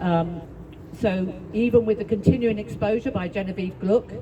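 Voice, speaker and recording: A woman keeps a moderate pace and fairly even intonation while noticeable background noise plays around her. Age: 60s. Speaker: psychotherapist and activist speaker. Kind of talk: speech at a public rally. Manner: halting.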